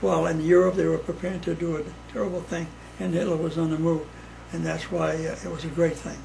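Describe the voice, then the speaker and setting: A man with an American accent talks at a very fast pace amid noticeable background noise and audible room echo. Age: 80s+. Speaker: elderly father, World War Two veteran. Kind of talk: casual chat.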